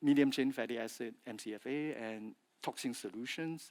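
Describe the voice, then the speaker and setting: On a very clean recording with a silent background and a dry, close sound free of echo, a man with a medium pitch and ordinary pitch variation speaks with a Chinese accent. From China (Fujian). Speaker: industry speaker, feed additive specialist. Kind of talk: conference presentation. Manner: halting, with fillers and repetitions.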